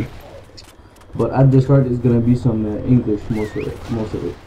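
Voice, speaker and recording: There is light background noise behind a man speaking. His intonation is fairly even. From Canada. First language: French. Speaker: gamer. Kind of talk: gameplay commentary. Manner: hesitant, many fillers.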